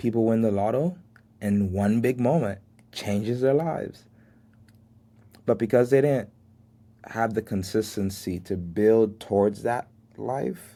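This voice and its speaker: A man's dark, mellow voice at a medium pitch and a fairly slow pace, with ordinary pitch variation, long and frequent pauses, and a very clean recording against a silent background. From Miami, Florida, Haitian family. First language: Haitian Creole. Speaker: podcast host. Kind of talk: motivational monologue.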